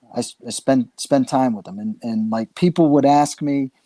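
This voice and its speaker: A man speaks at a moderate pace and medium pitch with ordinary pitch variation, the sound dry and close with no echo, on a very clean recording with a silent background. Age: 60s. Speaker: paintball figure, father. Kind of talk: casual chat. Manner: halting.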